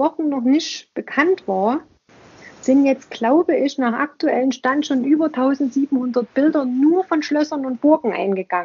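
At a very slow pace, a woman with a Saxon accent speaks in a high pitch with ordinary pitch variation. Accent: Saxon dialect, noticeable. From Saxony, eastern Germany. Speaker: museum podcaster. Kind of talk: casual interview conversation.

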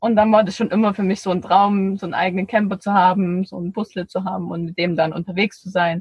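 Somewhat breathy, a woman speaks at a very fast pace in a flat monotone with hardly any pauses and big swings in loudness. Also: medium pitch for a woman. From Erzgebirge, Saxony. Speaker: podcaster and van traveler. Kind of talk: casual interview. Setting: in a parked camper van.

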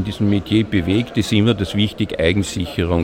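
Over music in the background, a man with an Austrian accent talks in a fairly low pitch with ordinary pitch variation. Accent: clear Austrian dialect. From Austria, Linz, Upper Austria. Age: 60s. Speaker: retired police digital forensics investigator. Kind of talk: interview. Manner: talkative.

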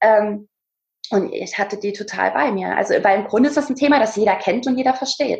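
A woman talks at a fairly quick pace in a fairly high, somewhat breathy voice. Her pitch varies in an ordinary way. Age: 20s. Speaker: speaker and presence coach, former dance teacher. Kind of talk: casual interview.

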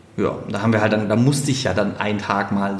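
A man speaks at a very fast pace in a fairly low voice. Noticeable background noise and audible room echo come through. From Swabia, Stuttgart (southwest Germany). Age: 30s. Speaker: keynote speaker. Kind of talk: casual interview. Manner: sing-song lilt.

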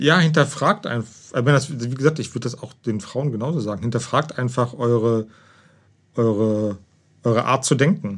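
On a very clean recording with a silent background, a man talks at a moderate pace with big swings in loudness. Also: medium pitch for a man, ordinary pitch variation. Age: 40s. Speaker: host's partner. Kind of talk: casual conversation. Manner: halting, repeats words.

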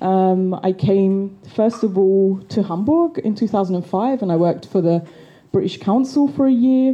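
A woman speaks at a very slow pace with lively intonation. Her pitch sits in the medium range. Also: very even loudness. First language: English (speaking German). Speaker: activist and storyteller. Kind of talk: storytelling performance.

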